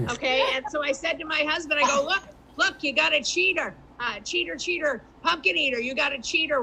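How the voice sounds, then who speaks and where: A woman with a Boston accent speaks in a raised, projected voice, high-pitched with lively intonation. Noticeable background noise runs behind her. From Boston area. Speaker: comedian. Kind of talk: stand-up.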